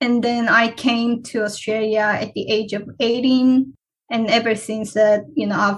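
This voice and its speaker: In a fairly high, somewhat breathy voice, a woman speaks at a fairly slow pace with monotone, flat intonation. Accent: Korean. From South Korea. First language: Korean. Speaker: PhD researcher. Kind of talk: interview.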